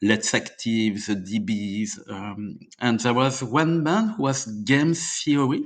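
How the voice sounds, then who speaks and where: Against a quiet background, a man with a French accent and a medium pitch speaks at a very slow pace. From France, Normandy. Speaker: indie rock musician. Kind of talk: interview storytelling. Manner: halting, many fillers.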